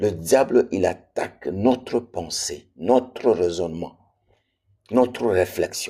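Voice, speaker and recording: At a very slow pace, a man with a medium-pitched voice and a dark, mellow tone speaks with lively intonation. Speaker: preacher. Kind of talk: sermon. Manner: repetitive, emphatic.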